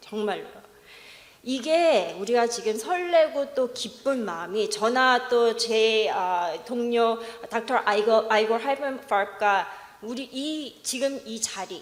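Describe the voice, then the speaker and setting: With a non-native accent, a woman with a fairly high pitch speaks at a very slow pace amid noticeable background noise and audible room echo. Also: ordinary pitch variation. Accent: non-native Korean. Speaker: researcher presenting a study. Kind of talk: conference presentation remarks. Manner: halting.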